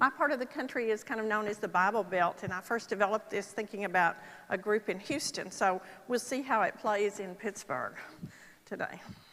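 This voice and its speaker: A woman with a Texas accent, a bright, sharp tone, fairly high pitch, ordinary pitch variation, and a fairly quick pace. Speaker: Parkinson's nurse specialist speaker. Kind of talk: conference talk. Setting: stage with audience. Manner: conversational, with filler ums.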